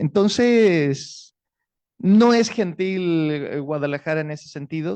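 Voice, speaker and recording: Man's fairly high voice with lively intonation. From Chile. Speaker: writer. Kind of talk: public book talk. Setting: stage with audience.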